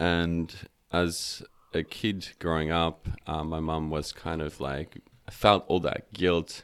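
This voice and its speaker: Speaking very slowly, a man with a South African accent uses a very deep, low voice and monotone, flat intonation. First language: Afrikaans. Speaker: meditation teacher. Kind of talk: casual interview chat. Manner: hesitant, filler-heavy.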